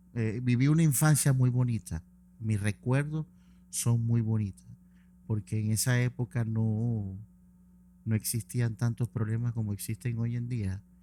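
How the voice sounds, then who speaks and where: With a Maracaibo accent and a dark, mellow tone, a man of medium pitch talks at a fairly slow pace with fairly even intonation and long, frequent pauses, in a dry, close sound with no echo. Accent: Maracucho Venezuelan. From Venezuela, Maracaibo (Zulia). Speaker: event promoter. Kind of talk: interview.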